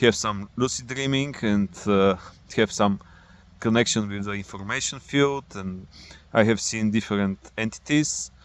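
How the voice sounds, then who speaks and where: A man with a non-native accent, fairly low pitch, ordinary pitch variation and a fairly slow pace. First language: not English. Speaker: spiritual vlogger. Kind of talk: personal monologue. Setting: outdoors. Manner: halting.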